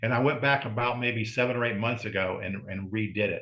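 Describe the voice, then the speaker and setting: Pitch varies in an ordinary way in a plain, everyday voice. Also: man. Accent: American. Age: 60s. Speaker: strongman and breathing coach. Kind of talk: interview.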